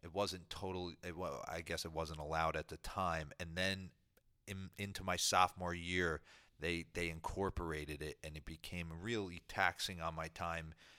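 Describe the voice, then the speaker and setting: A man's very deep, low voice in a New Jersey accent, bright and sharp in tone, monotone and flat, on a very clean recording with a silent background. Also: moderate pace. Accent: New Jersey American. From US Northeast, New Jersey. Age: 40s. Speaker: former professional baseball player. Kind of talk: interview. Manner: halting, with frequent repetitions.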